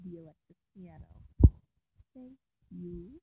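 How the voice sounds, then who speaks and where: Somewhat breathy and dark, mellow in tone, a woman speaks very slowly at a medium pitch in a dry, close sound with no echo. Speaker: hobbyist making music tutorial video. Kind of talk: casual screen-recorded tutorial. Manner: casual, informal.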